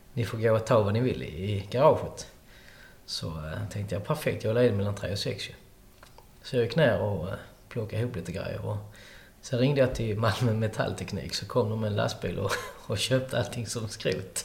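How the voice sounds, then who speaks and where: A man talks at a fairly quick pace with a fairly low pitch, ordinary pitch variation and vocal fry. Long, frequent pauses break up his speech, and the room echo is audible. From Skåne, Sweden (countryside near Hörby). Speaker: restaurant owner. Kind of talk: interview. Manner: halting.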